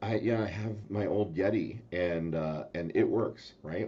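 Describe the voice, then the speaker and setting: A man's dark, mellow tone moves with lively intonation. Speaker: talk show host. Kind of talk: casual chat. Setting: live video stream. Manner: soft-spoken. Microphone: new mic and soundboard, sounded too quiet.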